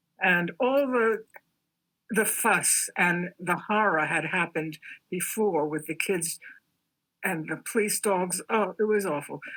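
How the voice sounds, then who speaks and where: A woman with a New York accent and a bright, sharp tone, ordinary pitch variation, and a fairly slow pace with long, frequent pauses. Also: medium pitch for a woman. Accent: New York American. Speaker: artist. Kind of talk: interview.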